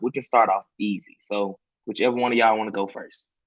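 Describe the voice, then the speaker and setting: This man has a Memphis accent. He talks at a fairly quick pace. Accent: US Southern (Memphis). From Memphis, Tennessee. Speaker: campaign volunteer, panel moderator. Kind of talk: online panel moderation. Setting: video call livestream.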